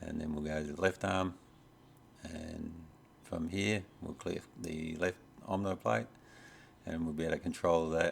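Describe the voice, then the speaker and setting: With an Australian accent, a man talks in a very deep, low voice at a fairly slow pace, with fairly even intonation, long, frequent pauses and noticeable background noise. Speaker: robot hobbyist YouTuber. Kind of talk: tutorial. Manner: hesitant, many fillers. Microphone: USB microphone plugged into laptop.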